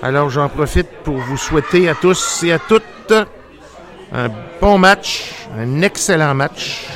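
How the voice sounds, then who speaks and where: Crowd noise fills the background as a man talks very slowly in a high voice with a Quebec accent. His intonation is lively. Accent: Québécois French. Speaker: radio host. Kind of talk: casual chat. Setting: studio. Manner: halting.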